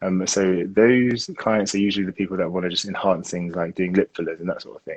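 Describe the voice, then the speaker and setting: A man with a London accent at a fairly quick pace. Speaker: aesthetic doctor. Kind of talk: interview answer.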